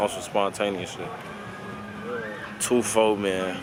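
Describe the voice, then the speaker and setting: A man talks at a fairly quick pace in a fairly low pitch. Noticeable background noise runs underneath. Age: 20s. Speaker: travel vlogger. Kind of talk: casual vlog talk. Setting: outdoors. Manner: animated.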